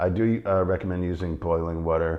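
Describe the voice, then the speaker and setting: The pace stays moderate. It is a man who speaks. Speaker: tea seller and taster. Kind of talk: tasting talk and tutorial. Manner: halting, many fillers.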